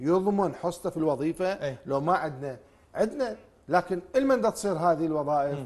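Speaking at a moderate pace, a man uses lively intonation in a high voice. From Iraq. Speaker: social researcher; talk show guest. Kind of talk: TV talk show debate. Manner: animated. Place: studio. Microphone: lapel.

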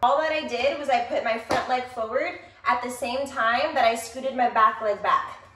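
With an American accent and a high pitch, a woman speaks at a moderate pace amid audible room echo and light background noise. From Texas. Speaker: dance instructor. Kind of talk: tutorial. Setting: at home. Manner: animated. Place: home room. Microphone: camera far.

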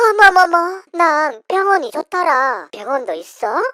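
A woman puts on a character voice at an extremely high pitch, speaking fairly slowly with very wide pitch swings. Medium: audio drama.

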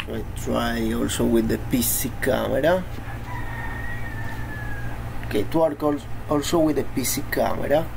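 Long, frequent pauses break up a man's fairly slow speech. There is noticeable background noise. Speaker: product reviewer. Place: home room. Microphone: webcam.

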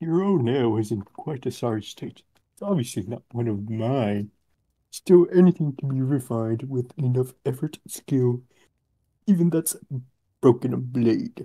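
A man at a moderate pace, lively intonation, and big swings in loudness. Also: medium pitch for a man. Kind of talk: amateur game-text reading.

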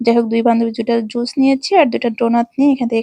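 Her voice is high-pitched for a woman yet carries a dark, mellow tone. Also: dry, close sound with no echo. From Bangladesh, Pabna district. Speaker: travel vlogger. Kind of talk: vlog narration. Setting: shopping mall.

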